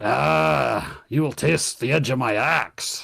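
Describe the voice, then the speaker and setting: A man's put-on character voice in a Scottish accent, gruff and raspy, medium in pitch, at a very slow pace. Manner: angry, gruff, menacing.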